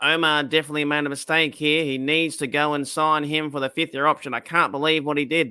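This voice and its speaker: A put-on character voice from a man, fairly high-pitched and nasal, with monotone, flat intonation at a very fast pace. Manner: earnest, concerned reporter.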